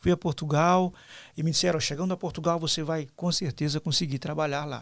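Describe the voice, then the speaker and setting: This man's voice sits fairly high, moving at a fairly quick pace with fairly even intonation. The recording is very clean, with a silent background. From Brazil. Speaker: pastor. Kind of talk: interview conversation. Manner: hesitant, many fillers.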